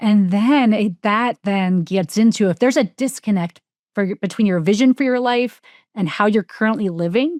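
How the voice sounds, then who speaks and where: With a slight New Jersey accent, a woman talks at a moderate pace on a very clean recording with a silent background and a dry, close sound with no echo. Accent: slight New Jersey, shows on some words. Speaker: life coach and author. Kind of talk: casual interview chat.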